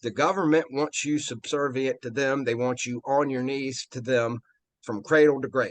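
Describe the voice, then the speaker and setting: A man with a Virginia accent talks at a moderate pace in a medium pitch. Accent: Virginia Southern. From Virginia, US South. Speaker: interview guest. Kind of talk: casual interview chat. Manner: animated.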